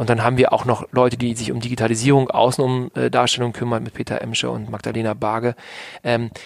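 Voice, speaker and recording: A man speaks in an ordinary speaking voice at a medium pitch. His pace is fairly quick. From Hannover, northern Germany. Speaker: business consultant and entrepreneur. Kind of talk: podcast interview.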